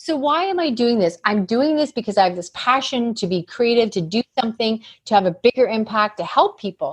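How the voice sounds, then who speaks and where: Close and dry with no echo, a woman talks at a fairly quick pace in a fairly high pitch, animated in tone with lively intonation. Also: hardly any pauses. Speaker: business coach and author. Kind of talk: podcast interview. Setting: podcast recording. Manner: fast.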